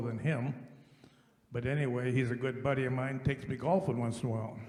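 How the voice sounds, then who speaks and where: This man speaks at a medium pitch. There is audible room echo. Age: 80s+. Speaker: farmer, audience member asking a question. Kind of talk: audience question.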